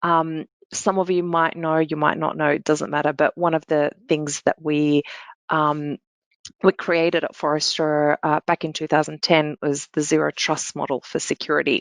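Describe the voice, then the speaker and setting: A woman with an Australian accent speaks with a very deep, low pitch and monotone, flat intonation. The sound is dry and close with no echo, over a quiet background. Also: moderate pace. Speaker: security analyst. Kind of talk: panel Q&A answer.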